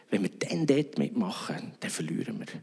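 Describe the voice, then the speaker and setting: Noticeable background noise around a man's moderate-paced speech. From Switzerland, Bern region. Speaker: pastor. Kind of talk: sermon.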